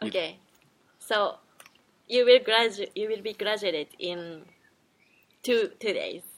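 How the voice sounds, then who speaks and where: A woman with a Japanese accent speaks at a fairly high pitch and fairly slow pace, with ordinary pitch variation and long, frequent pauses. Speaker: podcast host. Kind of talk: casual chat.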